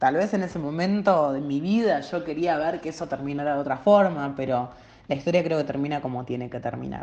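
The pace is fairly quick. The tone is dark and mellow. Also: woman, very deep, low pitch for a woman, ordinary pitch variation. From Latin America. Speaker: musical theatre fan. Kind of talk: testimony.

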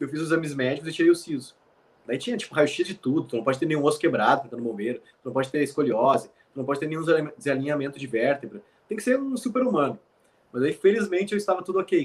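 Very fast and lively in intonation, a man speaks at a fairly high pitch. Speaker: military firefighter. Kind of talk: casual chat.

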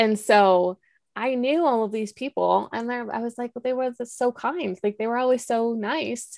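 A plain, everyday voice speaks at a moderate pace with ordinary pitch variation, in a dry, close sound with no echo on a very clean recording with a silent background. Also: woman. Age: 30s. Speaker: podcaster, former church member. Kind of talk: interview.

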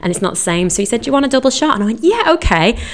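A woman speaks with lively intonation. Noticeable background noise sits under her voice. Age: 30s. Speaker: podcast host. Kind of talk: casual chat. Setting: recording intro at workplace on coffee break.

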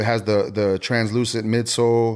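Over a silent background in a very clean recording, a man talks at a moderate pace in a monotone, flat intonation. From Houston, Texas (Spring Branch). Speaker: sneaker enthusiast. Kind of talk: casual chat.

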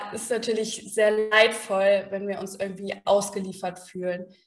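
The speaker talks at a fairly slow pace in a flat, monotone delivery. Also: woman. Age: 30s. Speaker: psychologist. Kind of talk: interview.

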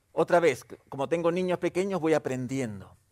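Lively intonation carries this man's moderate-paced speech. The recording is very clean, its background silent. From Peru. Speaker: pastor. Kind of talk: sermon.

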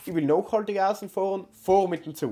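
Here a man talks fast-ish, at a fairly quick pace, in a South Tyrolean accent. His high-pitched voice has a dark, mellow tone. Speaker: podcast co-host. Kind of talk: casual chat.

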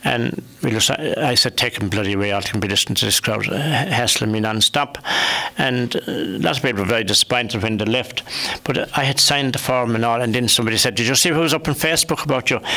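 A man's medium-pitched voice with a Limerick accent, very fast pace, very even loudness and ordinary pitch variation, over noticeable background noise. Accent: Irish (Limerick). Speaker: local radio host. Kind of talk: radio panel discussion. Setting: radio studio.

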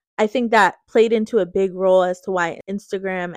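A woman with a plain, everyday voice speaks at medium pitch and a moderate pace with fairly even intonation, the sound dry and close with no echo over a quiet background. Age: 20s. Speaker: podcast host. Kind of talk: casual monologue.

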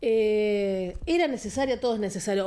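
A woman speaks in a plain, everyday voice at a fairly high pitch. Her pitch varies in an ordinary way. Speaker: film podcast co-host. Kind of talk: casual chat.

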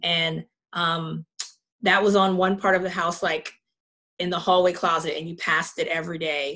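A woman with a fairly low pitch and a bright, sharp tone speaks at a moderate pace in a monotone, flat intonation, leaving long, frequent pauses. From Charleston, South Carolina. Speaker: worship singer. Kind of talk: testimony.

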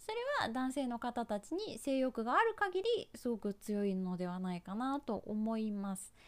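A woman speaks at a moderate pace with hardly any pauses. Her intonation is lively. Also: fairly high pitch for a woman. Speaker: YouTube advisor and pro gamer. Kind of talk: advice monologue. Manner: casual with many fillers.

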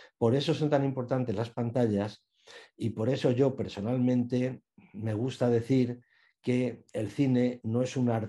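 This man has a dark, mellow tone at medium pitch, talking at a fairly slow pace with fairly even intonation. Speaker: journalist and radio film commentator. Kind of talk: interview.

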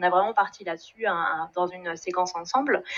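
Her pitch varies in an ordinary way. It sits at a medium level for a woman. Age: 40s. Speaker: engineer in career change. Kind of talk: testimony. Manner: halting, many repetitions and fillers.

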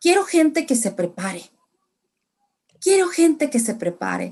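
Against a quiet background, a woman is speaking. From Mexico, San Luis Potosí (raised from age two; born in Tamaulipas). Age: 40s. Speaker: religion and English teacher. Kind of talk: interview testimony.

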